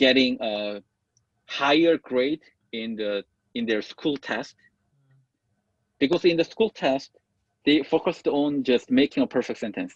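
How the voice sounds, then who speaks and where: Recorded with a dry, close sound and no echo, a man with a fairly high pitch talks at a fairly slow pace with lively intonation and long, frequent pauses. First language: not English (learned English as a child in the US). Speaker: English tutor / teacher. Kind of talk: mentoring meeting, casual work discussion. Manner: halting, self-correcting.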